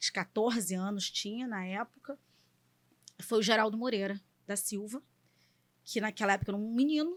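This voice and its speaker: A fairly high-pitched woman at a moderate pace, with ordinary pitch variation and long, frequent pauses. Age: 40s. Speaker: engineer and political aide. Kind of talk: podcast interview.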